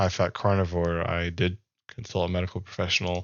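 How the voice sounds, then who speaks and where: A man with a very deep, low voice speaks at a fairly quick pace in a flat monotone. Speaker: health vlogger. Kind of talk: casual video monologue. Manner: hesitant, many fillers.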